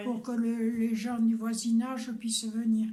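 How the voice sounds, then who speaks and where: Speaking at a very slow pace, a woman has a fairly high pitch and a dark, mellow tone. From Bordeaux, France. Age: 80s+. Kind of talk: interview answer. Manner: calm.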